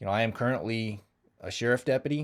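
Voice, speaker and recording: This man has an American accent and a medium pitch. He speaks at a fairly quick pace. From Kansas, US Midwest. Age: 30s. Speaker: sheriff deputy and combat veteran. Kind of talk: personal testimony monologue. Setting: live stream. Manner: casual, hesitant with fillers.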